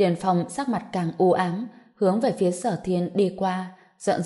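What you hear is a natural reading voice.

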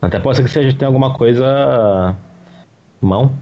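A man speaks with lively intonation. There is noticeable background noise behind him. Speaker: podcast guest. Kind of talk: casual chat.

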